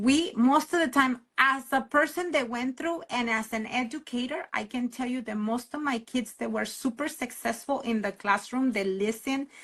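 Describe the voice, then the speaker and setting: Speaking with a Spanish accent at a moderate pace, the voice has ordinary pitch variation and hardly any pauses. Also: woman, high pitch for a woman. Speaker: podcast host and educator. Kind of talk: casual interview conversation.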